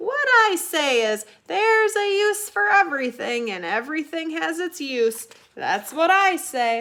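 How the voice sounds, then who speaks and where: Putting on a character voice, a woman speaks at an extremely high pitch with very wide pitch swings, keeping a moderate pace. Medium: read story. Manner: blunt, folksy.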